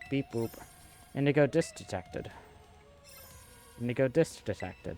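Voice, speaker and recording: Music plays in the background as a man does a robotic, put-on character voice at a medium pitch, moving at a moderate pace with lively intonation. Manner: robotic, mechanical.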